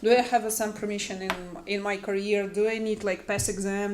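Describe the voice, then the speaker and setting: At a fairly quick pace, a woman speaks with a fairly high pitch. Noticeable background noise is present. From Ukraine. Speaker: human rights activist. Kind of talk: panel discussion. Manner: halting.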